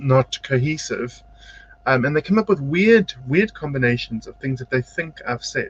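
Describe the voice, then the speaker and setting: A quiet man speaks at a fairly slow pace. The sound is dry and close, with no echo. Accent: South African. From South Africa. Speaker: psychic medium and spiritual teacher. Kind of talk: live-stream tarot-style card reading and motivational talk. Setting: home studio, live video broadcast. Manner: varies between quiet and loud.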